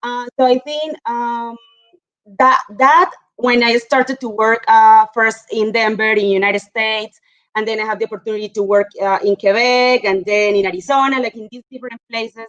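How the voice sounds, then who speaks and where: A woman speaks with a Spanish accent in a fairly high pitch, her intonation fairly even but her loudness swinging widely. The sound is dry and close, with no echo. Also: moderate pace. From Colombia. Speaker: mining geologist. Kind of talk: panel discussion.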